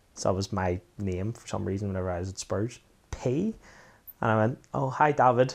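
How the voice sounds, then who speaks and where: At a moderate pace, a man with a Belfast accent and a fairly low pitch speaks with big swings in loudness. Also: ordinary pitch variation. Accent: Belfast Northern Irish. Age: 40s. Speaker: former footballer. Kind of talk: casual chat.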